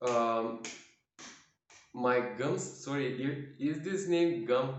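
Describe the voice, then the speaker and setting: Audible room echo surrounds a man speaking very slowly in a non-native accent with ordinary pitch variation. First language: not English. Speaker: self-healing practice demonstrator. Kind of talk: tutorial. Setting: at home, quiet for neighbors. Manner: halting.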